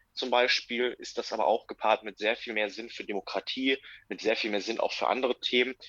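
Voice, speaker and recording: A man speaks at a moderate pace with a bright, sharp tone. The sound is dry and close with no echo, and his intonation stays fairly even. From Germany, Lippe district, North Rhine-Westphalia. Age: 20s. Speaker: political magazine writer. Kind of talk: interview.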